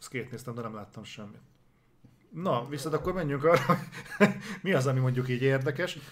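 Somewhat breathy speech moves at a fairly quick pace, broken by long, frequent pauses. Loudness swings a lot, while pitch variation is ordinary. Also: man, medium pitch for a man. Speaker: gaming news show co-host. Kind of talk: casual chat. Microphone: noise gate cutting out his audio.

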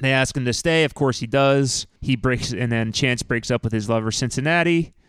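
At a fairly quick pace, a man talks in a normal speaking voice at a medium pitch. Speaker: podcast host. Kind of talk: casual chat. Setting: studio.

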